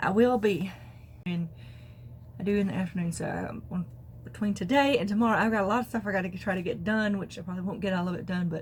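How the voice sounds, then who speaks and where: A woman delivers her words at a fairly quick pace in a somewhat breathy voice. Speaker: crafting podcaster. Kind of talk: casual talk to camera.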